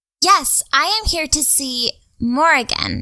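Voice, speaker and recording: A woman speaks in a put-on character voice at a high pitch. Her pace is very slow. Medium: actual play. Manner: formal, no contractions, cheerful.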